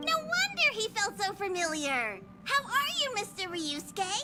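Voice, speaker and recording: An extremely high-pitched, put-on character voice speaks at a moderate pace. Loud music plays in the background. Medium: video game.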